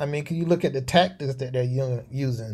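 A man with a Southern US accent talks at a fairly quick pace and medium pitch. His tone is dark and mellow, somewhat breathy. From US South, North Carolina. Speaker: Air Force veteran. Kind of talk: interview.

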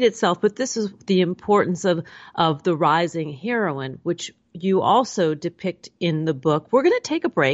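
A woman speaks in a normal speaking voice at a moderate pace. Her pitch sits in the medium range. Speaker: talk radio host. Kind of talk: radio interview. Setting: studio.

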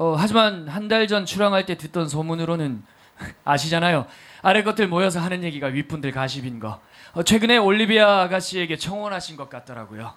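Speaking at a fairly quick pace in a high pitch, a man uses an animated tone, lively intonation and big swings in loudness. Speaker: podcast DJ and actor. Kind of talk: hosting a live public recording with play reading. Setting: stage with live audience.

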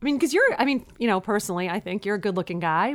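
A woman speaks in an animated tone with a Brooklyn accent. Her pitch swings very widely. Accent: New York (Brooklyn). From Brooklyn, New York. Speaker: co-host, married couple's relationship podcast. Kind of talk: casual chat. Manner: animated, joking banter.

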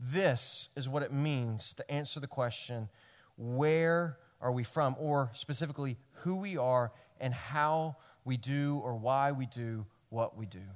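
Delivered at a fairly slow pace with a Tennessee accent, the speech has ordinary pitch variation. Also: man, medium pitch for a man. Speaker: pastor. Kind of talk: sermon. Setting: church.

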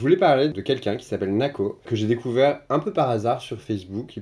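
Recorded very cleanly against a silent background, a man speaks at a medium pitch with a dark, mellow tone. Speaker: podcast host. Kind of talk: casual interview chat.

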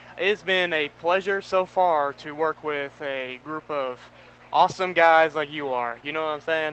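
Over a quiet background, a man speaks at a moderate pace in a fairly high pitch, his tone bright and sharp and his intonation fairly even. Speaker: college student intern. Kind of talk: casual pregame chat.

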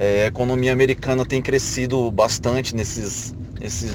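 Lively intonation from a man at medium pitch, with audible room echo and noticeable background noise. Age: 20s. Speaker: channel member asking questions. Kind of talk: recorded question.

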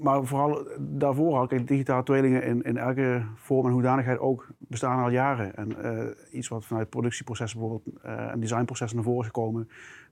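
Fairly quick in pace, a man talks at a medium pitch. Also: fairly even intonation. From South Limburg, Netherlands. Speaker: product manager. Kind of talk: interview conversation. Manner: hesitant with fillers.

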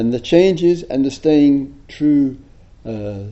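With an English accent, a man talks at a very slow pace. His voice is fairly high and his intonation lively. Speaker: Buddhist teacher. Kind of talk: dharma talk. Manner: soft-spoken; halting.

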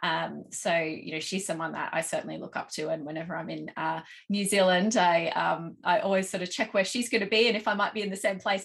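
A woman with an Australian accent, very fast, with vocal fry. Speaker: marketing strategist. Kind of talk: casual interview chat. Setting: video call. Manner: high energy.

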